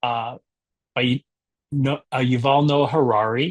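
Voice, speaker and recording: At a very slow pace, a man speaks at a medium pitch with fairly even intonation, and the sound is dry and close with no echo. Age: 60s. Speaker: book club founder and discussion leader. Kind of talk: book discussion presentation.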